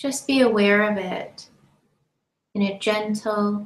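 In a room with audible echo, a woman with a fairly high pitch speaks in a calm, soothing tone that is somewhat breathy, her intonation fairly even. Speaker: meditation teacher. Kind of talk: guided meditation. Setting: live-streamed online session. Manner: slow, calm, soothing, with long pauses between gentle instructions; soft-spoken. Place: home room. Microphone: webcam.

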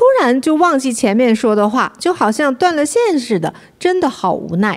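High-pitched female speech, moderately paced and swinging very widely in pitch. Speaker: co-host. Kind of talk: livestream chat. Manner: animated.

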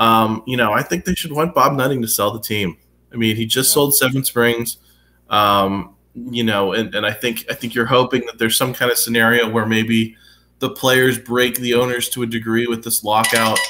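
A man speaks with an American accent and a bright, sharp tone. His intonation stays fairly even. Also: moderate pace. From western Pennsylvania. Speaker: sports journalist. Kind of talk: casual sports talk. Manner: hesitant, filler-heavy. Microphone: webcam.

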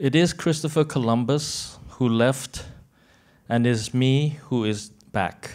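A man at a very slow pace, ordinary pitch variation, against a quiet background. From Thailand, born in Argentina. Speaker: contemporary artist; conference panelist. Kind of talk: press conference speech. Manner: halting. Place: hall. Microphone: handheld.

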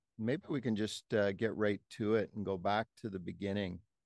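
A man is heard against a quiet background. The sound is dry, with no echo. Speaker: podcast host. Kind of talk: interview question. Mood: warm, relaxed. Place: home room. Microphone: studio mic.

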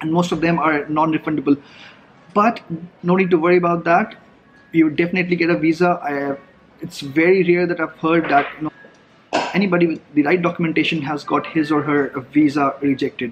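Over music in the background, a man talks at a fairly quick pace in a fairly high pitch with fairly even intonation and long, frequent pauses. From India. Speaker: travel vlogger. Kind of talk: vlog monologue. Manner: casual, conversational. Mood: relaxed, friendly. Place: cafe. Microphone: phone near.

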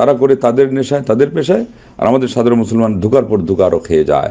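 Fast and dark, this man's mellow voice sits at a medium pitch with ordinary pitch variation.

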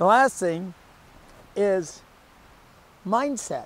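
A man speaks at a very slow pace with ordinary pitch variation. The recording is dry with no echo. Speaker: pickleball coach. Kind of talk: tutorial. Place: stadium.

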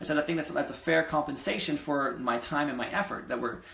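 A man with lively intonation sounds energetic, and the room echo is audible. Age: 20s. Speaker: real estate investor and vlogger; real estate investor vlogger. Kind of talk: casual vlog monologue. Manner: energetic, conversational; hesitant, many fillers. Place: home room. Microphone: webcam.

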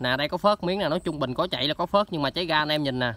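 A man speaks with a bright, sharp tone at a fairly high pitch. The sound is dry, with no echo. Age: 20s. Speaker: motorbike parts seller. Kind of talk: sales pitch. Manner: animated. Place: open country. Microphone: phone near.

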